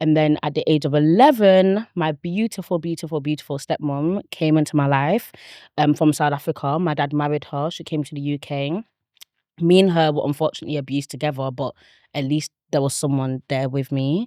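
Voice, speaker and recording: A woman speaks at a fairly quick pace in a Manchester accent, her very deep, low pitch moving with ordinary variation. The background is quiet, and the sound is dry and close with no echo. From northern England, Manchester. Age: 20s. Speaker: abuse survivor telling her story. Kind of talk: interview testimony.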